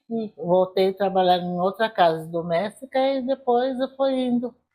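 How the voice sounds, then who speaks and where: A woman's dark, mellow voice at a fairly slow pace, with ordinary pitch variation. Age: 70s. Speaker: interviewee in documentary. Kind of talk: documentary testimony.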